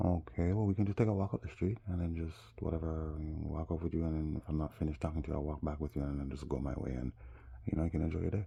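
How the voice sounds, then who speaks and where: Over a quiet background, a man speaks very fast in a very deep, low voice. He sounds somewhat breathy, and his pitch varies in an ordinary way. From Jamaica. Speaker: vlogger. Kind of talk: casual monologue. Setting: smoking. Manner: animated.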